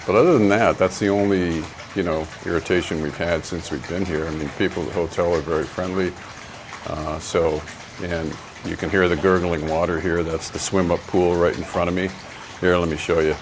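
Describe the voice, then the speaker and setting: A man's very deep, low voice, monotone and flat in intonation, at a fairly quick pace over noticeable background noise. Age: 60s. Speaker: travel vlogger. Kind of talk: casual vlog commentary. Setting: outdoors.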